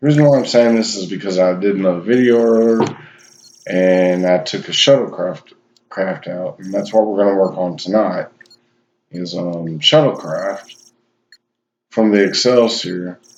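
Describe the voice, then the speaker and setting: The speaker, with a Southern US accent, pauses often and at length. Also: man, ordinary pitch variation. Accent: southern drawl. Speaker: gaming YouTuber. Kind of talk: game tutorial. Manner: hesitant, filler-heavy.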